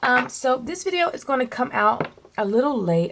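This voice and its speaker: Noticeable background noise accompanies a woman who talks fairly slowly. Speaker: lifestyle and planner vlogger. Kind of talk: casual vlog talk to camera.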